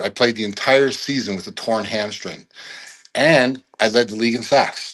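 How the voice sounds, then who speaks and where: With a Canadian accent, a plain, everyday voice moves at a moderate pace with ordinary pitch variation. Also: man. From Canada, Toronto area. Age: 60s. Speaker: former pro football player. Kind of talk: interview storytelling.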